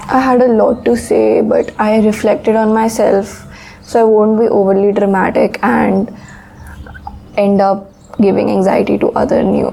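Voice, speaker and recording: The woman speaks fairly slowly, and noticeable background noise comes through. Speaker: author and vlogger. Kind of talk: casual vlog. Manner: monotone.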